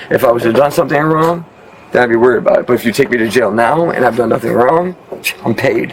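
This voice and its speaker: Over noticeable background noise, a man with a New York accent talks at a very fast pace with very even loudness. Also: medium pitch for a man, ordinary pitch variation. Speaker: man questioned by police. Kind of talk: heated argument. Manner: fast, talking over others.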